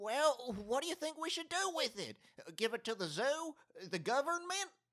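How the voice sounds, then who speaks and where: A man speaks at a moderate pace with extremely high pitch. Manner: dry, matter-of-fact.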